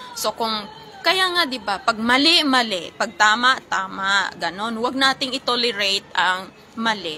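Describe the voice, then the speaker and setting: A woman speaks at a fairly slow pace, her pitch fairly high with very wide swings. Noticeable background noise sits behind her. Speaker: live streamer and karaoke contest judge. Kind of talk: casual livestream chat. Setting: livestream.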